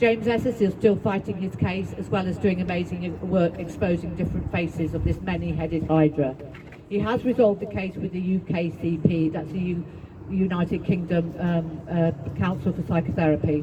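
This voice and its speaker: Fairly quick delivery with ordinary pitch variation over noticeable background noise. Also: woman, fairly low pitch for a woman. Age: 60s. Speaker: psychotherapist and activist speaker. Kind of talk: speech at a public rally. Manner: halting.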